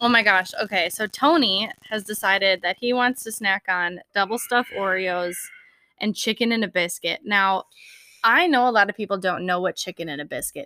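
Speaking at a moderate pace with a Minnesotan accent, a woman has a bright, sharp tone at medium pitch with ordinary pitch variation, recorded dry and close with no echo. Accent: Minnesotan, noticeable Upper Midwest vowels. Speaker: podcast co-host. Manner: casual, chatty.

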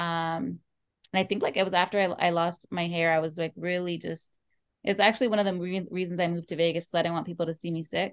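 A woman with an American accent talks at a very fast pace. Her pitch is fairly low and her intonation monotone and flat. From Oxnard, California. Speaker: nonprofit founder and business owner. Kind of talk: casual interview. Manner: halting.

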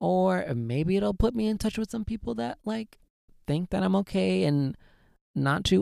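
Speaking at a moderate pace in an American accent, a man makes very wide pitch swings in a dry, close recording with no echo. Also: very clean recording, silent background. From Southern California. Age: 20s. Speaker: podcast host. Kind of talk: solo podcast monologue. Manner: animated.

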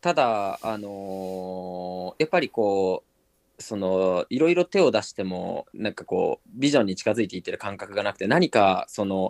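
Over a quiet background, a man with a plain, everyday voice talks at a moderate pace and a fairly low pitch, with lively intonation, big swings in loudness and a dry, close sound with no echo. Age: 20s. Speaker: startup founder. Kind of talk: interview.

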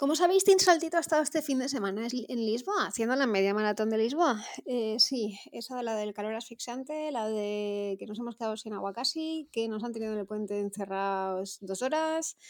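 A woman speaks in a plain, everyday voice at a fairly high pitch with lively intonation. Her pace is fairly quick, with hardly any pauses. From Valencia region, Spain. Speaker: amateur runner, listener. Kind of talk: anecdote.

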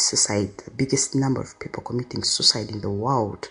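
Over noticeable background noise, a woman with a Ugandan accent speaks in an animated tone at a moderate pace. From Uganda (Kampala). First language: Luganda. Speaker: medical worker and podcast host. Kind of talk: solo podcast monologue, personal storytelling. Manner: animated, conversational, laughs often.

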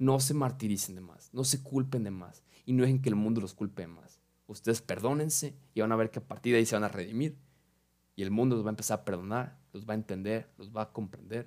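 A man speaks at a very fast pace in a very clean recording with a silent background. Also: medium pitch for a man, ordinary pitch variation, big swings in loudness. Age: young. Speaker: podcast host. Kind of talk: casual monologue.

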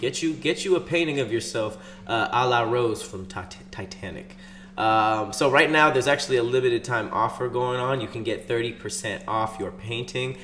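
With an American accent, a man with an unremarkable speaking voice talks at a medium pitch and moderate pace, using lively intonation. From Los Angeles. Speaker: podcast co-host. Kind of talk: casual chat.

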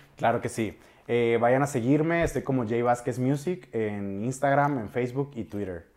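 With an ordinary speaking voice, a man talks at a moderate pace in a medium pitch with ordinary pitch variation. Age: 20s. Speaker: music producer. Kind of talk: interview.

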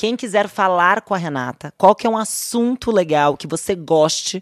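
An ordinary speaking voice from a woman, fairly low in pitch, with lively intonation and a moderate pace, dry and close with no echo against a quiet background. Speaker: podcast host, finance executive. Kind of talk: interview.

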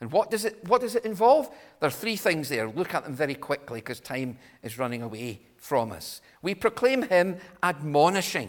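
A man with a Scottish accent talks at a moderate pace, his pitch fairly high. His pitch swings very widely and his loudness swings a lot. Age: 60s. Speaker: visiting preacher. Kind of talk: sermon.

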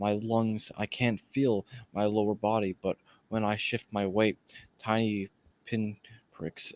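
At a fairly slow pace, a man talks in a fairly low pitch. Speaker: audiobook reader and commentator. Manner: halting, stumbling over words, tense and suspenseful; casual, informal recap in commentary parts.

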